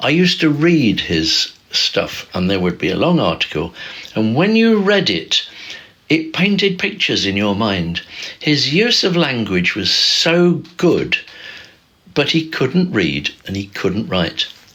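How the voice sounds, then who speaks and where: A man with a fairly high pitch and very wide pitch swings at a fairly slow pace, noticeable background noise behind him. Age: 70s. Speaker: livestreamer. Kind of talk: casual livestream talk. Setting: livestream on camera. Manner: halting, loses track mid-sentence.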